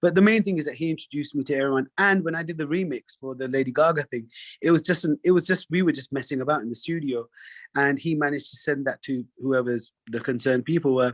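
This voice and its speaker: A man with a London accent, fairly high in pitch, very fast, with ordinary pitch variation. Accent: British, London. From London, England. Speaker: singer. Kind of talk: interview conversation. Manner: halting, many fillers.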